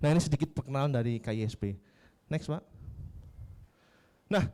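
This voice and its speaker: A man at medium pitch with ordinary pitch variation, in a dry, close sound with no echo. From Yogyakarta, Java, Indonesia. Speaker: civic organization coordinator. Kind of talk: workshop presentation. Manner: casual, interactive.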